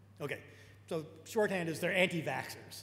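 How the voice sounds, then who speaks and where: A man with an American accent and lively intonation, amid audible room echo and noticeable background noise. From US Northeast, New York. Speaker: technologist and lecturer. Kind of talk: lecture. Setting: auditorium talk with live interpreter. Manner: fast; halting.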